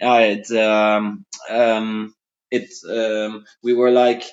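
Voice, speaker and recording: A man with a Dutch accent. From Netherlands. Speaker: rock drummer. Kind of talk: interview. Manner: halting.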